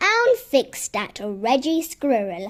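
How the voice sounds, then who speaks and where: A woman does a put-on character voice, high-pitched and swinging very widely up and down. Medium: read story. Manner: cheerful, amused.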